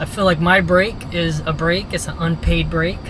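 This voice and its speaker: A man talks at a fairly slow pace with a fairly high pitch and a relaxed tone, his intonation monotone and flat. Noticeable background noise and audible room echo fill the recording. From Louisiana. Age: 20s. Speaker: vlogger, truck driver moving abroad to teach. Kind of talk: casual vlog monologue. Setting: restaurant. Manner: relaxed, conversational.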